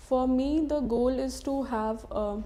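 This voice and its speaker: Fairly even intonation in a woman's dark, mellow tone. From Bihar, India. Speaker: civil service candidate. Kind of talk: mock job interview. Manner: monotone; halting.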